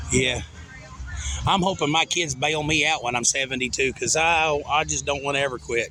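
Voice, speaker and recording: A man with a Southern US accent, fairly high pitch, fairly even intonation, very even loudness and a moderate pace. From Arkansas. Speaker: car show judge. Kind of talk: casual chat.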